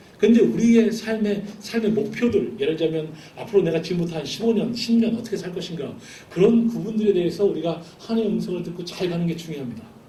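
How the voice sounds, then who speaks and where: A man talks at a fairly quick pace in a high pitch with ordinary pitch variation. His voice carries audible room echo. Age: 40s. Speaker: missionary. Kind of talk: sermon.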